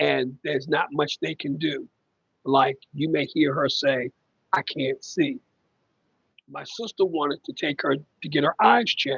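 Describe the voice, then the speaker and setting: The voice is loud and fairly slow. Long, frequent pauses break it up. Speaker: family caregiver livestreamer. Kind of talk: casual live stream chat.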